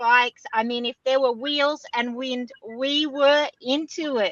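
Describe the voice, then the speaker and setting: A woman speaks at a high pitch in an Australian accent, her voice raised and projected with a bright, sharp tone. The intonation stays fairly even, and the sound is dry and close with no echo. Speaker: extreme sports athlete and keynote speaker. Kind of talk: interview podcast.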